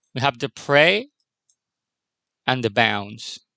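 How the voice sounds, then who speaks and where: A man with a non-native accent speaks at a medium pitch with ordinary pitch variation and a bright, sharp tone. The sound is dry and close, with no echo. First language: not English. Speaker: animation tutorial creator. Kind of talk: tutorial. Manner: halting.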